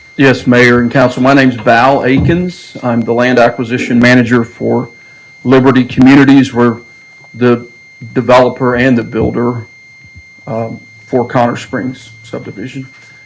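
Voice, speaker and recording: Heard with audible room echo and noticeable background noise, the speaker talks in a monotone, flat intonation with an American accent. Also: man, medium pitch for a man, moderate pace. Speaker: land acquisition manager for developer. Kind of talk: presentation to city council. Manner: loud.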